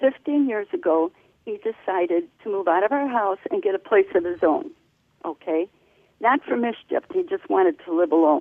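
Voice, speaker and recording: With very wide pitch swings around a medium pitch, a woman speaks at a moderate pace. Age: 70s. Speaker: caller. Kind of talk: phone call question.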